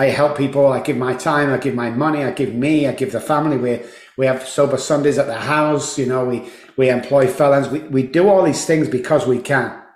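At a fairly quick pace, a man talks at a fairly high pitch, with audible room echo. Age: 60s. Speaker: addiction psychologist and recovery coach. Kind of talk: casual interview. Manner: animated.

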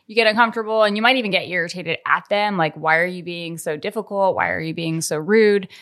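In an American accent, an ordinary speaking voice with ordinary pitch variation comes through on a very clean recording with a silent background. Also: woman. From Colorado, US. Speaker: podcast co-host and editor. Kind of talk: casual chat.

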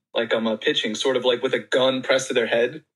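A man races along at a very fast pace, with music in the background. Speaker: caller or guest joining the chat. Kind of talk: casual comedic banter.

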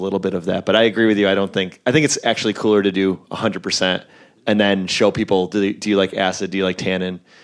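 Man's fairly low voice with an American accent at a very fast pace, in a very clean recording with a silent background. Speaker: brewer. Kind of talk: live panel discussion. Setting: festival stage with audience. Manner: casual, filler-heavy.

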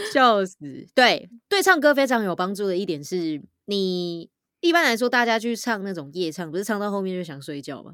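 A woman's medium-pitched, energetic voice at a moderate pace, with very wide pitch swings, in a very clean recording over a silent background. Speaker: voice actor and podcaster. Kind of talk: casual chat. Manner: loud.

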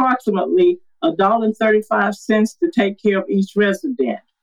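A woman speaks at a fairly high pitch in a Southern US accent. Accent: Southern US (Georgia). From Georgia, US South. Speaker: city council candidate. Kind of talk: political candidate interview.

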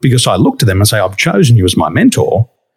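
Dry and close with no echo, a man talks with an Australian accent. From Australia, western Sydney. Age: 40s. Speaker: wakeboarding champion and business coach. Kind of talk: casual interview. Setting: remote podcast recording.

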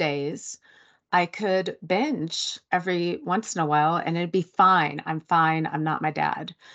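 Over a quiet background, a woman with a normal speaking voice talks at a fairly slow pace and a fairly low pitch. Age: 40s. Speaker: writer and sober coach. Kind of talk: interview.

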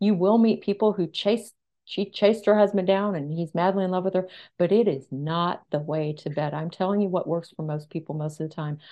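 An unremarkable speaking voice from a woman, fairly low in pitch, with ordinary pitch variation. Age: 50s. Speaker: dating author and relationship expert. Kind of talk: interview. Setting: audio-only interview.

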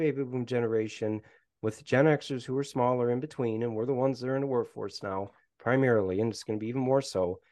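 Here is an ordinary speaking voice: a man with an American accent at a medium pitch. He talks at a fairly quick pace against a quiet background. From Michigan. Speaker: professor. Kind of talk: casual chat.

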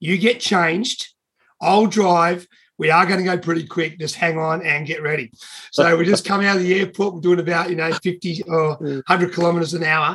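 A man with an Australian accent talks at a moderate pace with fairly even intonation. His voice is high in pitch, with a bright, sharp tone. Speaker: triathlon announcer. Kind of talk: anecdote. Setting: video call.

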